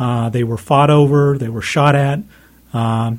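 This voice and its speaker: Somewhat breathy, a man speaks at medium pitch and a moderate pace with fairly even intonation. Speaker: author of a history book. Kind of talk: interview. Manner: uses many fillers and repetitions.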